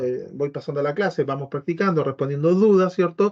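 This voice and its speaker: Speaking at a fairly quick pace with a Chilean accent, a man shows ordinary pitch variation. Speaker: biomagnetism teacher. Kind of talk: informational talk to prospective students. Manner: fast.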